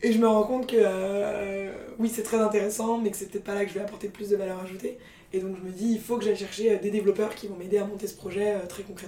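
A woman talks very fast. Her pitch is medium. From Paris, France. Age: 20s. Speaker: startup co-founder. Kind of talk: interview. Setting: company office. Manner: energetic.

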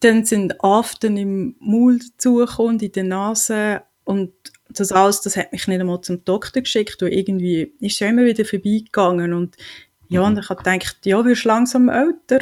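A woman speaks at a moderate pace, her pitch medium and her intonation fairly even. It is a plain, everyday voice. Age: 40s. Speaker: patient advocate. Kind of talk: interview.

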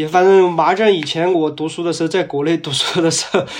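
The speaker is a man. His voice is high in pitch. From Bazhong, Sichuan, China. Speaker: interviewee sharing their dialect. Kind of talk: interview.

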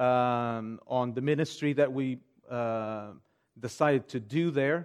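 A man with a Portuguese accent and ordinary pitch variation against a quiet background. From Portugal. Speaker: pastor. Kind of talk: sermon; church announcements and prayer requests.

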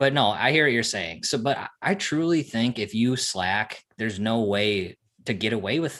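At a moderate pace and medium pitch, a man with a normal speaking voice talks with lively intonation in a very clean recording with a silent background. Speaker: podcast host. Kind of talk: casual chat.

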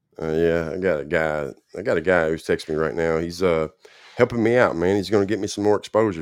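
At a very fast pace and with fairly even intonation, a man speaks over a quiet background. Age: 40s. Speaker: livestream host in addiction recovery. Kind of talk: casual live-stream chat. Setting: live stream with viewers.

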